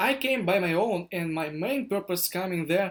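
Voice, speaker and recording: A man talks at a moderate pace in a Russian accent. His pitch is high. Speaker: startup founder vlogger. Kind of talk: vlog monologue. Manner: halting.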